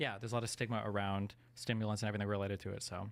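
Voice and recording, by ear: Spoken at a very fast pace, the voice has vocal fry and little pitch movement. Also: man, fairly low pitch for a man.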